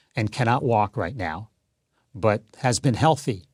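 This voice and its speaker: Somewhat breathy speech comes at a fairly slow pace with ordinary pitch variation. The sound is dry and close with no echo, in a very clean recording with a silent background. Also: man. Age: 60s. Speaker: author and broadcaster. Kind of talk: interview. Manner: hesitant with fillers.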